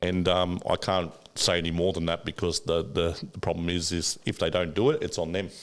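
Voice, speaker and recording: A man with a very deep, low pitch talks at a fairly quick pace in an Australian accent. His intonation is monotone and flat. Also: very clean recording, silent background. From Australia, inner-city Sydney. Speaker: finance broker. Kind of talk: casual chat. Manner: fast.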